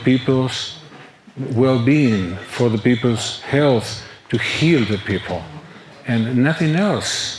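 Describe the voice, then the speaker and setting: Over noticeable background noise, a man with a medium pitch speaks at a very slow pace, his intonation lively. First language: Spanish. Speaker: medical doctor. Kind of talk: interview.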